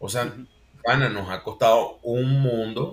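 Moderately paced, a man's medium-pitched voice comes through with a bright, sharp tone. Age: 40s. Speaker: university lecturer and consultant. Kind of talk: interview.

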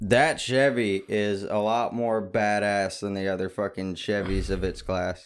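Fairly low-pitched and unremarkable, a man's speaking voice moves at a fairly slow pace with hardly any pauses. His intonation is fairly even, and the recording is very clean with a silent background. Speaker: podcast co-host, reads sponsors. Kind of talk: casual banter, crude comedy podcast. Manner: crude, joking, interrupts.

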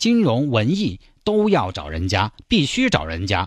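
A man of medium pitch speaks with very wide pitch swings over a quiet background. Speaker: radio host. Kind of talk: casual radio commentary. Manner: animated.

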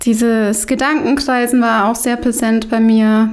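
Over noticeable background noise, a woman speaks at a very slow pace, her fairly high pitch kept in fairly even intonation. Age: 30s. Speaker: podcast host. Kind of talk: casual chat.

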